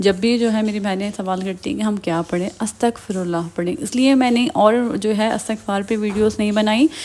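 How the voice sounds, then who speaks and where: A woman with a fairly high pitch speaks at a moderate pace with ordinary pitch variation and hardly any pauses. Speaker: religious vlogger. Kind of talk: religious advice vlog. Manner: usually very soft-spoken.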